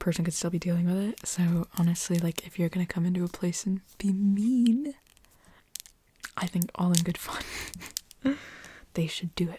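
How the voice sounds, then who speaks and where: The voice is whispering and soft-spoken. It moves at a moderate pace. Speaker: ASMR creator. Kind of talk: ASMR reading and reacting to online stories. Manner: soft-spoken, whispery.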